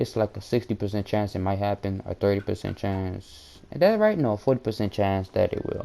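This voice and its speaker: Fairly low-pitched and dark and mellow in tone, a man speaks at a very fast pace with ordinary pitch variation. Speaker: gaming youtuber. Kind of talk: gameplay tutorial. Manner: stutters often; casual, hesitant.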